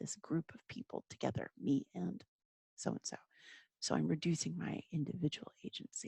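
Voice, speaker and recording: A woman whispers in an American accent at a moderate pace, with big swings in loudness. The sound is dry and close, with no echo. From Texas. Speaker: German teacher. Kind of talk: lecture. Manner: whispering. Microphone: microphone very close to mouth.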